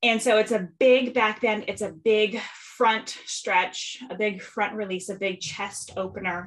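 At a fairly slow pace with hardly any pauses, a woman speaks with fairly even intonation in a fairly high pitch. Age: 30s. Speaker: breathwork facilitator and podcast host. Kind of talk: casual interview.

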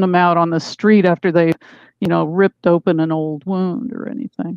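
A woman speaks at a moderate pace in an unremarkable speaking voice. Her pitch sits fairly low. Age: 60s. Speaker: author. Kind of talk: interview. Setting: video call.

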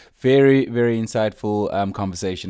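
Over a very clean recording with a silent background, a man with an ordinary speaking voice talks at a moderate pace in a fairly low pitch. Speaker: podcast host. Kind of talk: casual podcast chat.

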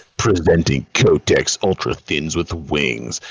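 Putting on a character voice, a man speaks fairly slowly in a husky, very deep, low pitch with ordinary pitch variation. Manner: booming, mock-serious.

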